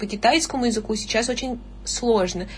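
A woman with vocal fry talks at a moderate pace with ordinary pitch variation. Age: young. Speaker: university student and online tutor. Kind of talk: casual chat.

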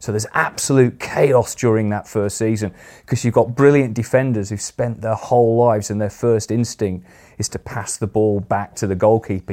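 In a Yorkshire accent, a man talks at a fairly low pitch. His intonation stays fairly even. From northern England, Sheffield. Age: 50s. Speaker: politics professor. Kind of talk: interview.

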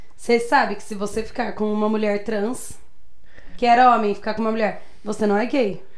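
Fairly quick, monotone, flat delivery with audible room echo. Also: woman, fairly high pitch for a woman. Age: 20s. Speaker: podcast guest, bar worker. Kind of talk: casual chat.

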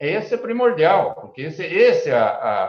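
A man talks rather slowly while the room's echo is clearly heard. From Brazil, Paraná (born São Paulo state, moved very young). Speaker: agribusiness cooperative executive. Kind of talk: interview. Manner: halting, many repetitions.

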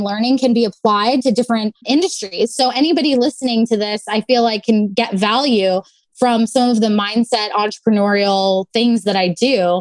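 A woman in a normal speaking voice, fairly high in pitch, speaks at a moderate pace with ordinary pitch variation in a dry, close sound with no echo. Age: 20s. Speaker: sommelier. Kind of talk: casual interview.

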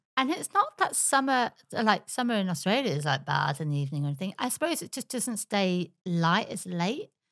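With an English accent, a woman talks at a fairly quick pace with hardly any pauses, her medium pitch swinging very widely. The recording is very clean, with a silent background. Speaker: podcast host. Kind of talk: casual chat. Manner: animated.

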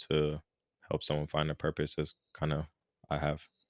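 Soft-spoken and with an American accent, a man talks at a fairly quick pace in a very deep, low pitch. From Los Angeles, California. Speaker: life coach, personal trainer. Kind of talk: casual interview. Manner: mellow, quiet, soft-spoken.

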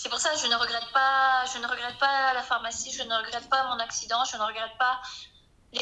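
High pitch and monotone, flat intonation from a woman at a moderate pace, with noticeable background noise. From southwest France (Arcachon basin). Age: 20s. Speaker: small business owner and naturopath. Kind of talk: casual interview. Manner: hesitant, many fillers.

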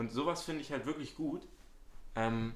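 A man is talking here. His delivery is very slow. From Hamburg, northern Germany. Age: young. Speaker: student podcast host. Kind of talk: casual chat.

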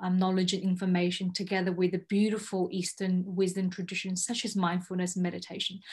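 Somewhat breathy, a woman talks at a moderate pace. Her pitch is medium, and the background is quiet. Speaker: podcast host. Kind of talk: interview, friendly conversation.

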